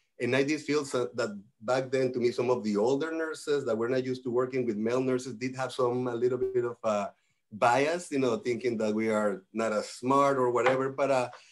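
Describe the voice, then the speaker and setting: Speaking with a Spanish accent, a man goes at a fairly quick pace with hardly any pauses. His pitch is medium, and his intonation is fairly even. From Mexico. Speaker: nurse executive. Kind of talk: panel discussion.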